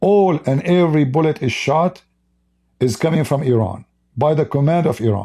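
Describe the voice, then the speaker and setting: A man with an Arabic accent: fairly high pitch, a dark, mellow tone, somewhat breathy delivery, lively intonation and very even loudness. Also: moderate pace. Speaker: religious commentator. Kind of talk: live stream commentary.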